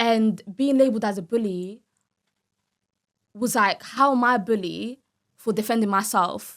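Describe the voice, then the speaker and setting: With a London accent, a woman talks at a moderate pace in a fairly high voice with ordinary pitch variation and long, frequent pauses. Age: 20s. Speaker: reality TV contestant. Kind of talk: interview.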